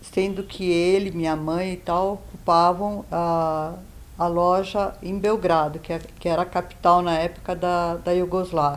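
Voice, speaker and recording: A woman with a fairly low pitch speaks fairly slowly in a flat, monotone way. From Yugoslavia, Belgrade. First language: Serbo-Croatian (speaking Portuguese). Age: 70s. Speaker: Holocaust survivor. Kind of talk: testimony. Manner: hesitant, with fillers.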